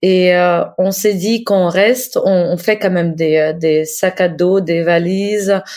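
A woman speaks in a Russian accent at a medium pitch. Her intonation stays fairly even. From Ukraine. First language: Russian (speaking French). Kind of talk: interview; diary reading. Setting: video call.

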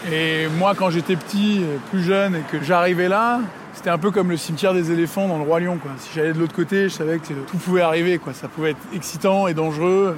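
Over noticeable background noise, a man talks at a fairly quick pace in a high pitch with fairly even intonation. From France, Paris (5th arrondissement). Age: 30s. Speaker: film director. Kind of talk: reflective walking monologue.

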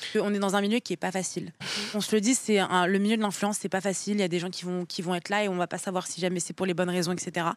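Monotone, flat intonation at a very fast pace. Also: woman, medium pitch for a woman. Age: 20s. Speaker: content creator. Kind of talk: casual chat.

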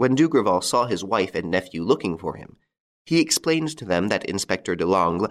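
Plain reading aloud comes through with little sound behind it.

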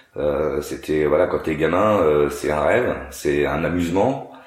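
A man's very deep, low voice with ordinary pitch variation, audible room echo and noticeable background noise. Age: 40s. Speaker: racing driver and TV car tester. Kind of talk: casual interview.

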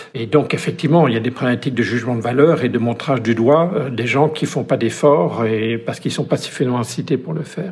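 A man talks at a very fast pace with hardly any pauses and ordinary pitch variation. Noticeable background noise sits behind him. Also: medium pitch for a man. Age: 60s. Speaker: economist. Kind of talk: interview.

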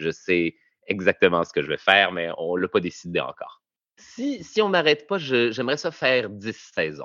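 A man with a Quebec accent at a moderate pace, with big swings in loudness. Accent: Québécois French. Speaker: comedian. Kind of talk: interview. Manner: halting.

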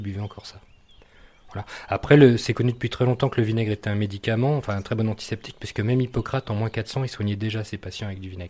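Somewhat breathy, a man rattles along at a very fast pace with fairly low pitch and fairly even intonation. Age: 40s. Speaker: artisan vinegar and mustard maker. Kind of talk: interview. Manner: hesitant, many fillers and repetitions.

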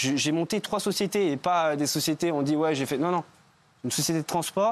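This man's delivery is very fast, with ordinary pitch variation. Behind him, things stay quiet. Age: 20s. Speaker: reality TV contestant. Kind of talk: talk show interview. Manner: halting.

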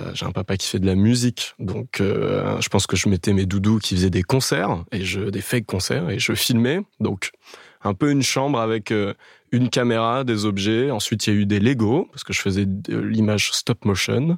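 A man's unremarkable speaking voice at a fairly low pitch, with ordinary pitch variation and a moderate pace, in a very clean recording with a silent background and a dry, close sound with no echo. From Paris area (Boulogne-Billancourt). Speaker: dating podcast guest, video maker in music. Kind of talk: casual interview.

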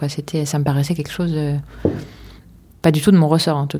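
A woman's voice with a very deep, low pitch. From France, Paris. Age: 40s. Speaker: archaeologist. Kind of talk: casual chat. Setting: on site at a construction site.

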